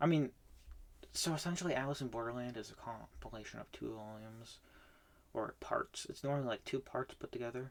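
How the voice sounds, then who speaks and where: A normal speaking voice from a man, medium in pitch, with ordinary pitch variation at a fairly quick pace. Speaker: manga reading vlogger. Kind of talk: casual monologue review. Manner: filler-heavy, with false starts.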